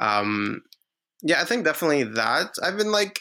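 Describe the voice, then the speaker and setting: This man has a fairly high voice with a bright, sharp tone. He talks fairly quickly, and his pitch swings very widely. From Lebanon. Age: 20s. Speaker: recent graduate working in talent attraction. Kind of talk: casual chat. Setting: video call.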